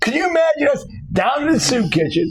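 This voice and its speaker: There is audible room echo and noticeable background noise around this man. His pitch swings very widely. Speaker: podcast co-host. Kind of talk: casual chat. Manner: loud.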